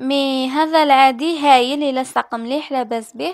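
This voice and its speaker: A woman speaks at a high pitch with an Algerian accent. The sound is dry and close, with no echo. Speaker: beauty youtuber. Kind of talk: beauty tutorial talk to camera. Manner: casual, chatty.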